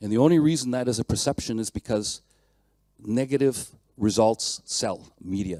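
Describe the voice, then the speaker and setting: With lively intonation, a man speaks at a medium pitch in a dark, mellow tone. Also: dry, close sound with no echo. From Canada. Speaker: mechanical engineer, conference speaker. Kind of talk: conference talk. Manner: fast.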